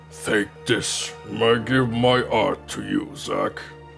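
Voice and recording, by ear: A raspy, put-on character voice from a man, very slow, with clear music in the background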